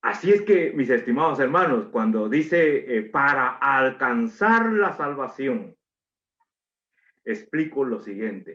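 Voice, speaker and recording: Very slowly, a man with a fairly high voice speaks with very wide pitch swings. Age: 60s. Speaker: preacher. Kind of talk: sermon.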